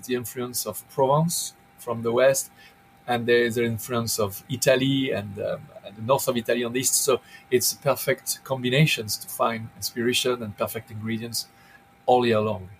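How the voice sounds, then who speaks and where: A man with a French accent at medium pitch, talking at a fairly quick pace with big swings in loudness over music in the background. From southern France. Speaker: chef and restaurant owner. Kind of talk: interview. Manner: halting, many repeated words.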